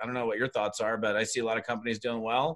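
Medium in pitch, this man's voice stays monotone. His intonation is flat throughout. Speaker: network marketing trainer. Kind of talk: casual interview chat.

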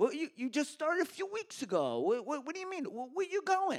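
Putting on a character voice in a strong Long Island accent, a man talks at a moderate pace with an extremely high pitch. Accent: thick Long Island.

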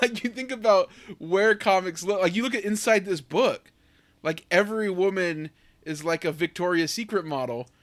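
Recorded very cleanly with a silent background, a man with an American accent speaks at a moderate pace in a high-pitched voice. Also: ordinary pitch variation. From US. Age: 30s. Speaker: podcast host. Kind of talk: casual chat. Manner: animated.

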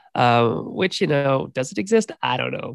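With lively intonation and a fairly high pitch, a man speaks in a plain, everyday voice, the sound dry and close with no echo. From Canada. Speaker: game designer and professor. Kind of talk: casual chat.

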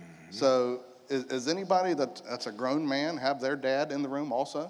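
A man with an American accent speaks at a moderate pace and medium pitch. He has a plain, everyday voice with ordinary pitch variation. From Polk County, Florida. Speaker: church panelist, stepfather. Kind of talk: panel discussion.

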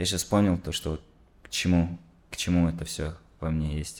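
A man's very deep, low voice at a moderate pace. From Kazakhstan. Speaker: musician. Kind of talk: casual chat.

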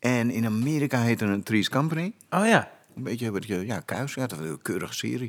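On a very clean recording with a silent background, a man with a normal speaking voice talks at a fairly quick pace, his medium pitch carried by lively intonation. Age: 50s. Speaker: actor turned firefighter and instructor. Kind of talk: casual chat.

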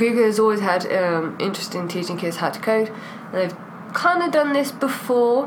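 A woman's fairly high voice with a British accent, lively intonation and a moderate pace, plus audible room echo and noticeable background noise. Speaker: podcast co-host. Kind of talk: casual chat. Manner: animated.

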